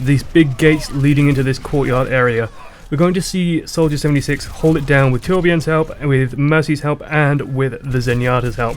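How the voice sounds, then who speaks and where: A man with a British accent speaks in a fairly high pitch. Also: fairly even intonation. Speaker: gaming commentator. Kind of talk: game analysis commentary. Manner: fast.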